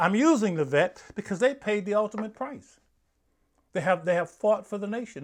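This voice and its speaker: Against a quiet background, a man with an American accent talks at a fairly quick pace in a high voice. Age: 70s. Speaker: pastor. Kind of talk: sermon-style commentary. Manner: emphatic.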